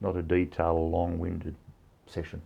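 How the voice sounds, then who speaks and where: Somewhat breathy, a man speaks at a fairly quick pace with a very deep, low pitch. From Cowra, New South Wales, Australia. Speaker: mayor and farmer. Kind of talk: interview answer.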